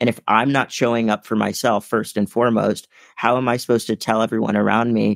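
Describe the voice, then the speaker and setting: In a dry, close recording with no echo, a man speaks fairly quickly with vocal fry and fairly even intonation. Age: 20s. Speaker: motivational keynote speaker. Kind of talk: interview.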